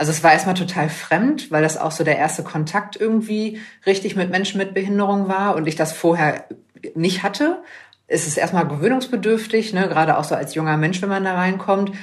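The woman talks fairly quickly at a medium pitch with ordinary variation and a somewhat breathy quality. Room echo is audible. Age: 20s. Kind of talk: interview. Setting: video call.

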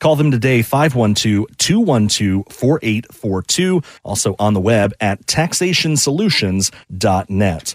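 A man with a plain, everyday voice speaks in a medium pitch at a fairly slow pace, with lively intonation and very even loudness, on a very clean recording with a silent background. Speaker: radio host. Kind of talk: radio ad read, urgent hard-sell pitch. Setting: radio station broadcast.

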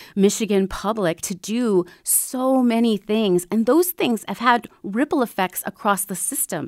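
A woman with an American accent speaks in a normal speaking voice at a moderate pace with ordinary pitch variation, on a very clean recording with a silent background and a dry, close sound with no echo. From Minnesota, small town south of the Twin Cities. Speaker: public radio general manager. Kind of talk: interview.

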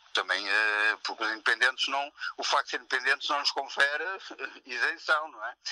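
A man at a moderate pace, in a dry, close recording with no echo. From Portugal, Maia (north). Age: 60s. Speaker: founding member of a new political party. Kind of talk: phone interview.

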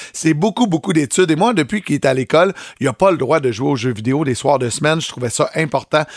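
A normal speaking voice with ordinary pitch variation comes through dry and close, with no echo. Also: man. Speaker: morning radio host. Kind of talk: casual chat.

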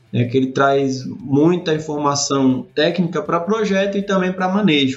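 A man's intonation sounds lively. Music runs underneath his words. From Sergipe, Brazil. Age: 30s. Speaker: irrigation professor. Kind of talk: interview.

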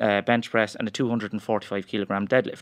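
A man in a rural Irish accent, very fast, fairly low in pitch, with fairly even intonation. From rural Ireland. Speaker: strength coach and powerlifter. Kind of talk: interview.

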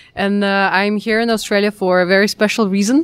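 A woman's voice in a Russian accent, medium in pitch, moderate in pace, with monotone, flat intonation. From Russia, Kazan. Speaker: event representative. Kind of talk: interview. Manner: halting.

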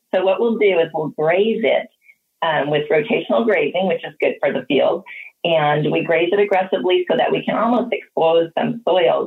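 A woman with an American accent talks in a plain, everyday voice at medium pitch and a moderate pace, her intonation lively. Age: 50s. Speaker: dairy farmer. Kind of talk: interview.

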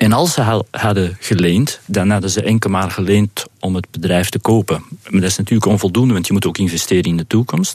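A man talks in a normal speaking voice at a moderate pace. His intonation stays fairly even. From Flanders, Belgium. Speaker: business owner. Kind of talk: interview.

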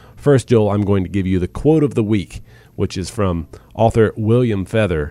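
At a moderate pace, a man speaks in a dark, mellow tone, recorded with a dry, close sound and no echo. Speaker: radio co-host and announcer. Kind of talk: radio interview with scripted intros. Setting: studio.

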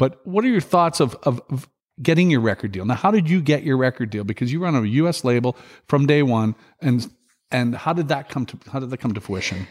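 Speaking fairly quickly with lively intonation, a man with a Canadian accent holds a medium pitch on a very clean recording with a silent background. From Saskatchewan, Canada (Regina). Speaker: podcast host, festival producer. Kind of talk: casual interview. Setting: tour bus. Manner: halting, many fillers.

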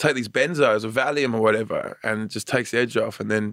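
A man's plain, everyday voice at medium pitch, moving at a moderate pace. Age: 30s. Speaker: stand-up comedian. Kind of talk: interview.

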